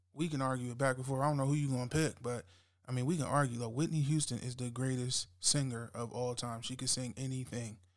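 In a very clean recording with a silent background, a man with an American accent speaks at a medium pitch, animated in tone and at a very fast pace. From US Eastern Shore, Maryland. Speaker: radio host and music producer. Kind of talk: radio DJ patter, casual chat between songs. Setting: radio show. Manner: animated, hyped, slangy; slightly nervous, first-time host.

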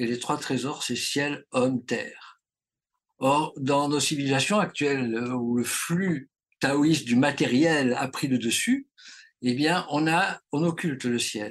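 This man has a fairly high pitch and speaks at a very slow pace. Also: ordinary pitch variation. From Marseille, southern France. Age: 70s. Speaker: traditional Chinese medicine teacher. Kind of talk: interview. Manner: halting.

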